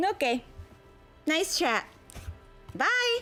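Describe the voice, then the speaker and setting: Clear music plays behind a woman doing a squeaky, put-on character voice. Her pitch is extremely high and swings very widely. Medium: actual play. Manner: chatty, bubbly.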